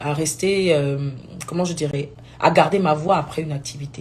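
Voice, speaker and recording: Speaking at a moderate pace, a woman with a very deep, low pitch keeps her intonation fairly even, and audible room echo surrounds her voice. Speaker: gospel singer. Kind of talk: live video talk. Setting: live stream.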